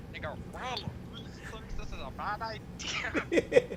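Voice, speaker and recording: Someone talks fairly slowly in a put-on character voice. Loud background noise fills the clip. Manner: goofy.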